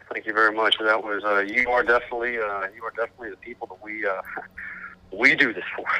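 A man speaks very fast at a medium pitch, his intonation monotone and flat. His loudness swings widely, and background noise is noticeable. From Arkansas. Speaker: metal band vocalist. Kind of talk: interview. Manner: halting.

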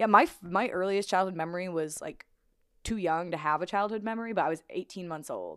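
A woman with an American accent at a medium pitch, fairly quick in pace with ordinary pitch variation, on a very clean recording with a silent background. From Illinois, Springfield. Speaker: podcast co-host. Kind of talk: casual chat.

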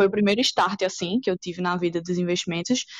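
A woman speaks at a fairly quick pace in a normal speaking voice. Her intonation is fairly even, and the background is quiet. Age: 20s. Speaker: copywriter and crypto student. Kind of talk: podcast interview.

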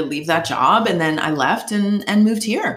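In an ordinary speaking voice, a woman with an American accent talks at a fairly quick pace with ordinary pitch variation. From Boston, Massachusetts, US. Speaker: journalist. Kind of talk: casual chat.

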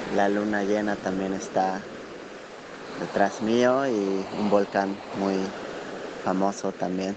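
In a Mexican accent, the speaker goes at a very slow pace with long, frequent pauses and monotone, flat intonation over noticeable background noise. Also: man, fairly low pitch for a man. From Mexico. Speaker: listener contributor. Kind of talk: voice message. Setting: outdoors.

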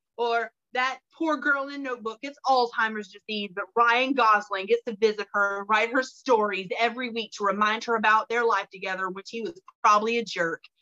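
This woman has an ordinary speaking voice, fairly high in pitch with ordinary pitch variation. She keeps a moderate pace, and her loudness swings widely. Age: 40s. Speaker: book podcast co-host. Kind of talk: casual chat.

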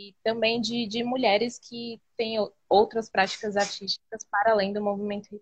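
A woman's voice comes through dry and close, with no echo. She sounds somewhat breathy and speaks in a flat monotone, her loudness swinging widely. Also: moderate pace. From Embu das Artes, São Paulo state, Brazil. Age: 20s. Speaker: street artist. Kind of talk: interview. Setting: live video call.

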